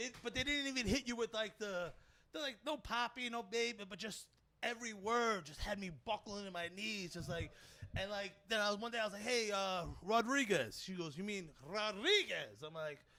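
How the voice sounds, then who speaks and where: The voice is raised and projected, bright and sharp in tone, moving at a moderate pace with ordinary pitch variation. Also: man, high pitch for a man. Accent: Brooklyn. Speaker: comedian. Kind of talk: casual chat. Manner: animated.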